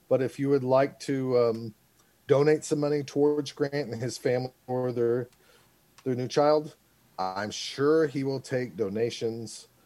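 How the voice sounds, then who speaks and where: A man speaks at a fairly slow pace in a medium pitch with fairly even intonation, with music playing in the background. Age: 40s. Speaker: podcast co-host. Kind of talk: casual chat. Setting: podcast recording.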